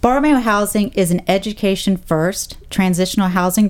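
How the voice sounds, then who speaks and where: Speaking at a moderate pace, a woman has a medium pitch, ordinary pitch variation and a plain, everyday voice. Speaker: nonprofit executive director. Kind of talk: radio interview. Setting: radio studio.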